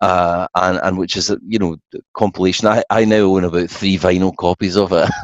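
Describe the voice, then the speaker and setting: With a Scottish accent, a man speaks at a fairly quick pace in a very deep, low voice, his intonation monotone and flat, the sound dry and close with no echo. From Scotland. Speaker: songwriter. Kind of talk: casual interview. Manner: hesitant, frequent fillers.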